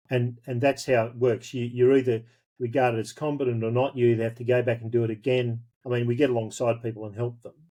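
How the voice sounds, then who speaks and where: Talking very fast in a rural Australian accent, a man keeps a medium pitch and monotone, flat intonation while his loudness swings widely. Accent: broad rural Australian. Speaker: pastor. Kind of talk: interview.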